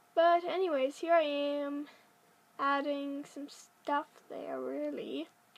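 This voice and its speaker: The delivery is very slow. Its intonation stays fairly even. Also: woman, high pitch for a woman, big swings in loudness. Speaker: gaming video creator. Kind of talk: voice-over commentary on a build video. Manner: calm; casual, rambling with fillers.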